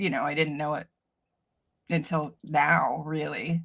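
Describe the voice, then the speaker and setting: A woman's animated tone. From Canada. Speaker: cleaning business coach. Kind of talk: interview.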